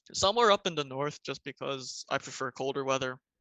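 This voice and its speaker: With lively intonation and a fairly high pitch, a man speaks in a plain, everyday voice at a moderate pace. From US Mid-Atlantic, Maryland (Montgomery County). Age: 20s. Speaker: podcast guest. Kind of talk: casual chat.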